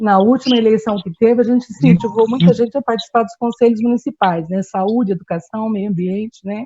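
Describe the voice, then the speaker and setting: This woman has a dark, mellow tone at a fairly high pitch, somewhat breathy, with ordinary pitch variation. She talks at a fairly quick pace in a dry, close sound with no echo. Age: 60s. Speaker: community activist. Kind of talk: panel talk. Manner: halting, with frequent fillers.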